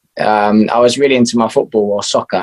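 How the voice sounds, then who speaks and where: A man with an English accent talks at a moderate pace and a medium pitch. The sound is dry and close, with no echo. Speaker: musician. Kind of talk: interview.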